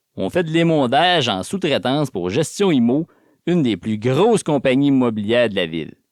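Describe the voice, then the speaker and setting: Here a man with a Quebec accent speaks at medium pitch, his pitch swinging very widely. The recording is very clean, with a silent background. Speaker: audiobook narrator. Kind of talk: audiobook reading, first-person novel.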